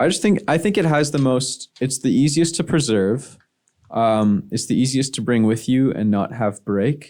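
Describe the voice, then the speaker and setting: A man with a Canadian accent has an unremarkable speaking voice at a medium pitch, moderate pace, lively intonation and very even loudness. The recording is very clean with a silent background. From Ottawa, Canada. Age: 20s. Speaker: musician. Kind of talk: casual chat.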